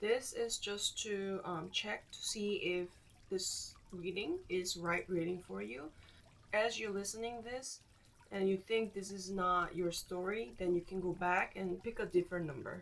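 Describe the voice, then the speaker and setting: A woman talks at a fairly slow pace. She speaks with a Korean accent. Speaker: tarot reader. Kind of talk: tarot reading.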